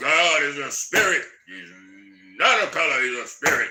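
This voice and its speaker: Using a put-on character voice at a fairly high pitch, a man speaks at a moderate pace with big swings in loudness. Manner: barking, commanding.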